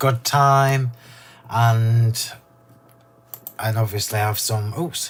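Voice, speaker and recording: In an English accent, a man talks at a medium pitch with a somewhat breathy voice and fairly even intonation. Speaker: craft demonstrator. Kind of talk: live craft demo chat. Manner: casual, chatty.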